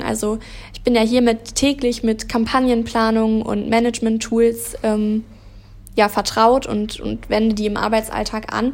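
Her voice is fairly high in pitch for a woman. She talks at a moderate pace. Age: 20s. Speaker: PR and marketing trainee. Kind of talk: interview.

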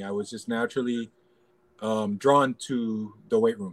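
Recorded with a dry, close sound and no echo, a man with an American accent speaks at a moderate pace with lively intonation. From US, Los Angeles (Pacoima, San Fernando Valley). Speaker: basketball assistant coach and analyst. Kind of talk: casual interview.

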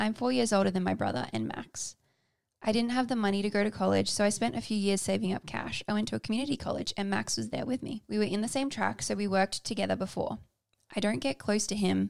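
Talking very fast, a woman speaks with an Australian accent. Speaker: podcast co-host. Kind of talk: casual chat.

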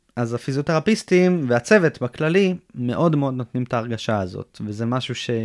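An ordinary speaking voice from a man at medium pitch, with lively intonation and a moderate pace, comes through a very clean recording with a silent background and a dry, close sound with no echo. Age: 20s. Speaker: former combat soldier, rehab patient. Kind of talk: interview testimony.

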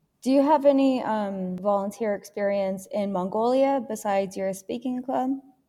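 The woman has an American accent and a dark, mellow tone. Her fairly high voice runs on with hardly any pauses. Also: ordinary pitch variation, moderate pace. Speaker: student podcast host. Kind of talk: interview. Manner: formal.

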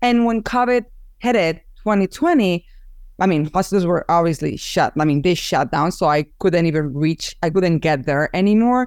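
The speaker has a Spanish accent and lively intonation, with very even loudness in a very clean recording with a silent background. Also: woman, fairly low pitch for a woman, moderate pace. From Spain, Barcelona. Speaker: photographer and business owner. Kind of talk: interview.

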